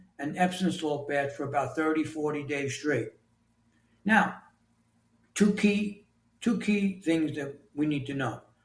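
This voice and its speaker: Somewhat breathy, a man speaks at a fairly slow pace. His pitch is fairly high, with ordinary pitch variation. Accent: New York. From New York City. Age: 60s. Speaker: author and construction leader. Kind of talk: interview.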